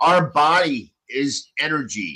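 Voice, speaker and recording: A bright, sharp tone comes through in this man's voice. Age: 60s. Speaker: panel participant, practicing pagan. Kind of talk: casual group chat on live stream.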